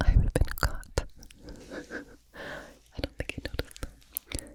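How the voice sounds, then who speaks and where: Someone whispers over noticeable background noise. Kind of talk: ASMR whisper rambles. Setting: close-up studio mic. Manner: whispered, close to mic.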